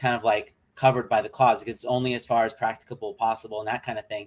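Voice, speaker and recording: This man speaks with an American accent at a medium pitch. His intonation stays fairly even. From US Midwest. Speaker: vegan livestreamer. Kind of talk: live reaction stream. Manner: halting, many fillers.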